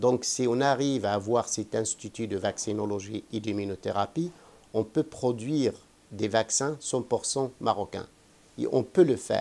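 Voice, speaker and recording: A man's dark, mellow, medium-pitched voice, fairly slow, with ordinary pitch variation. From Morocco. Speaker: vaccine research scientist. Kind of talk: interview answer.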